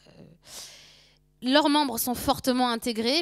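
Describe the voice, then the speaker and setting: Moderate pacing and ordinary pitch variation in a woman's voice. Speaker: sociology lecturer. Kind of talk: lecture.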